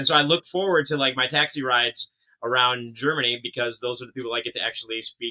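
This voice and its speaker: Speaking in an unremarkable speaking voice with an American accent, a man uses medium pitch and ordinary pitch variation at a fairly quick pace. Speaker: podcast host. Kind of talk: casual interview.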